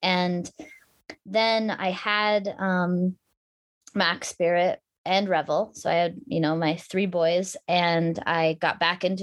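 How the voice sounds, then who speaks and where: Over a quiet background, a woman uses a normal speaking voice, fairly low in pitch, with fairly even intonation. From Alaska (Anchorage). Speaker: adventure racer and mountain bike champion. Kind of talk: casual interview chat.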